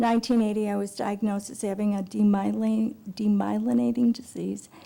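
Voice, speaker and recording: Her tone dark and mellow, a woman talks at a moderate pace with a medium pitch and ordinary pitch variation. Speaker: patient giving public testimony. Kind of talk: testimony. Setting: public hearing before a committee.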